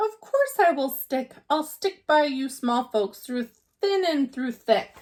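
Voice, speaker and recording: A woman's put-on character voice, high in pitch and fairly slow. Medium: read story. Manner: earnest, warm.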